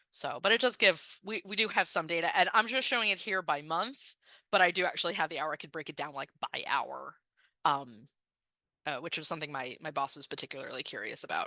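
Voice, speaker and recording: A woman speaks at a fairly quick pace with a bright, sharp tone, her pitch fairly low and her intonation lively. Her loudness swings widely against a quiet background. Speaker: librarian presenter. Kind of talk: conference presentation with Q&A. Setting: virtual conference. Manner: fast; hesitant, many fillers.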